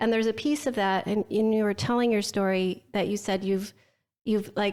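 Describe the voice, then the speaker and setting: In a very clean recording with a silent background, a woman speaks at a moderate pace and medium pitch, with fairly even intonation and very even loudness. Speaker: branding agency owner. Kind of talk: casual chat. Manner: soft-spoken.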